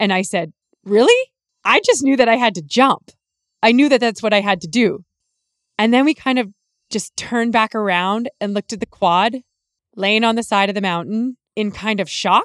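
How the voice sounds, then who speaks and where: With a western Canadian accent, a woman speaks at a fairly high pitch and moderate pace with ordinary pitch variation. Long, frequent pauses break up the dry, close sound with no echo. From Canadian prairies, rural Alberta/Saskatchewan. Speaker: podcast host and healing coach. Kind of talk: personal storytelling monologue.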